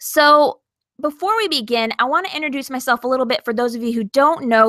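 A woman with a bright, sharp tone and ordinary pitch variation. The sound is dry and close, with no echo.

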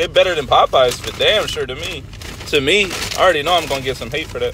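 Over noticeable background noise, a man talks at a fairly quick pace in a dry sound with no echo. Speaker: food reviewer. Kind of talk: casual vlog chat. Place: car. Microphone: phone near.

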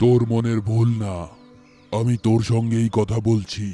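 Put-on character voice in a monotone, flat delivery at a moderate pace, faint music in the background. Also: man, medium pitch for a man. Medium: short film. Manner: disembodied, unseen.

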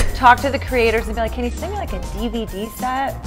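Her words come at a very fast pace. Music is clearly heard behind the woman. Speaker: TV host, entertainment reporter. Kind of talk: casual celebrity interview over drinks. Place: office.

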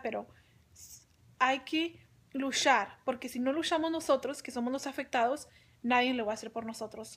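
A woman with a high pitch speaks at a moderate pace. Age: 20s. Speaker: young-onset Parkinson's patient; vlogger sharing personal health experience. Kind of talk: personal testimony. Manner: halting, frequent repetitions and fillers. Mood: earnest, encouraging. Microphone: phone near.

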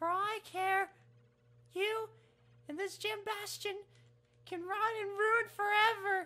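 A woman with an extremely high voice speaks at a fairly slow pace in a flat monotone, leaving long, frequent pauses. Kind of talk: comic overacting. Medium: game stream. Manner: pompous, sneering, dramatic.

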